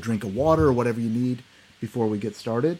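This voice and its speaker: A man speaks with a dark, mellow tone. His pitch shifts in an ordinary way. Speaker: psychiatrist and meditation teacher. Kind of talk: guided meditation. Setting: video call. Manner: slow, calm, soothing; gentle, instructive, with pauses.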